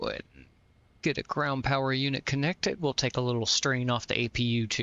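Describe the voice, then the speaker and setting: Speaking at a very fast pace, this man has a medium pitch and a slight Southern US accent. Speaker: flight sim streamer. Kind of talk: casual live-stream commentary. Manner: relaxed, with fillers.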